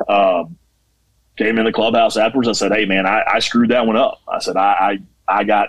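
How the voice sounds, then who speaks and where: A plain, everyday voice from a man with an American accent, medium in pitch, fairly quick, fairly even in intonation and very even in loudness. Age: 30s. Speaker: junior college baseball head coach. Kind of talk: casual interview.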